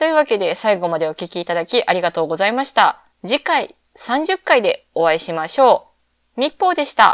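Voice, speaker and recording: Fairly high in pitch, a woman's voice makes very wide pitch swings at a moderate pace. The sound is dry and close with no echo. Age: 20s. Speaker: podcast host. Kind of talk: solo casual podcast talk. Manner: relaxed, laid-back.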